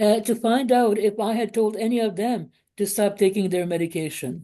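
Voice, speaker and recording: A woman with a fairly high pitch and a dark, mellow tone speaks at a moderate pace with ordinary pitch variation over a quiet background. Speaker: former Jehovah's Witness. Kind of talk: testimony. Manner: halting, many fillers.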